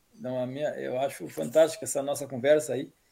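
A man talks very fast in a dark, mellow tone. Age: 40s. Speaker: panelist, horse enthusiast. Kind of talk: casual chat. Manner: halting.

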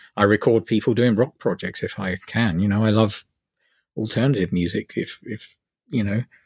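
Man at a fairly low pitch and moderate pace, fairly even in intonation, with a dry, close sound and no echo. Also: very clean recording, silent background. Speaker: electronic musician. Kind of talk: casual chat. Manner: halting.

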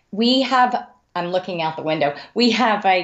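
A woman with an American accent speaks in a fairly low voice at a moderate pace with ordinary pitch variation. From Texas Panhandle, Amarillo. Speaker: mystery author. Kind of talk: interview.

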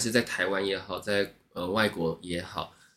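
A man is speaking here. His pace is fairly slow. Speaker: former service worker, Japanese speaker. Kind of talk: casual interview chat. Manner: polite, deferential-sounding tone.

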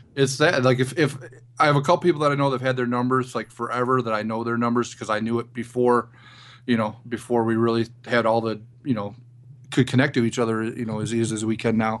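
This man's voice sits at a medium pitch and moves at a very fast pace. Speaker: former show producer, guest co-host. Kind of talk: casual chat.

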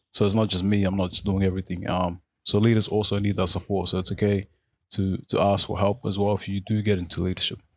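With an Australian accent, a man talks at a very fast pace in a fairly low pitch and monotone, flat intonation, in a very clean recording with a silent background. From Australia, Melbourne (Footscray), born in Africa. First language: Arabic. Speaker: youth organization treasurer and board member. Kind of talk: interview. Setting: radio studio. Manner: halting, many fillers and repeats.

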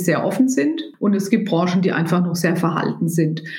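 Noticeable background noise and audible room echo around a woman's speech. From Germany, rural. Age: 50s. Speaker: business executive. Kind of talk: interview.

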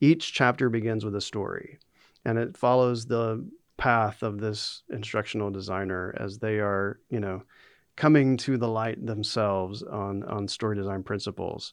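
An ordinary speaking voice with an American accent moves at a moderate pace with fairly even intonation against a quiet background. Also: man, fairly low pitch for a man. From US South, North Carolina. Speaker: author and instructional designer. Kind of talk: interview.

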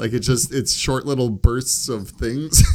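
The tone is dark and mellow. A man speaks at a moderate pace. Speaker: podcast host. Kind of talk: casual chat.

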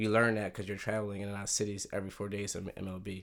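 A man at a very fast pace with an American accent, fairly low pitch and monotone, flat intonation, in a very clean recording with a silent background. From Philadelphia area, US. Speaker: basketball performance director. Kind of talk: interview.

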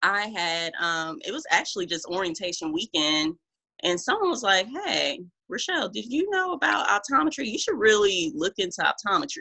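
Here is a plain, everyday voice: a woman with an American accent at a medium pitch. She speaks at a moderate pace with lively intonation. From Omaha, Nebraska. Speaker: optometrist. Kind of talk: casual chat.

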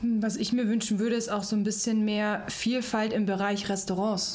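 A woman talks at a fairly quick pace and fairly high pitch. Audible room echo and noticeable background noise are present. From Ingolstadt, Bavaria. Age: 30s. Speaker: managing director. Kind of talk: casual interview. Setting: studio.

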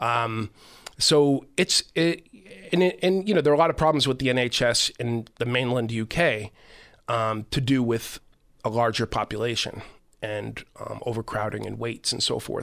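Speaking with an American accent, a man keeps a moderate pace and medium pitch with ordinary pitch variation in a very clean recording with a silent background. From Boston, Massachusetts (South Boston). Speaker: author and correspondent on Ireland. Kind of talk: radio interview.

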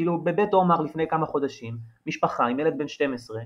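This man has a normal speaking voice, fairly high in pitch, with ordinary pitch variation. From Israel. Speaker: journalist. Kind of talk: interview.

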